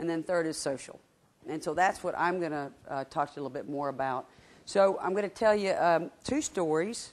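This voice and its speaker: A woman with a Southern US accent speaks at a fairly quick pace in a fairly low pitch, with ordinary pitch variation. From Georgia, US South. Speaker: market research director, guest speaker. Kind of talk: lecture. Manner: conversational, interactive.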